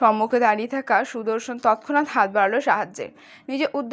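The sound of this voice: The voice heard is an unforced reading voice. Pitch shifts in an ordinary way.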